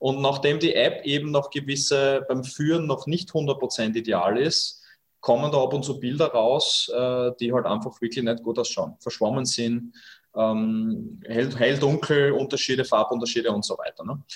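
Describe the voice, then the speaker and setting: Over a quiet background, a man talks at a fairly slow pace and fairly high pitch, somewhat breathy, with ordinary pitch variation. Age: 30s. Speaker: startup founder. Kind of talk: interview. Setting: video call from home kitchen.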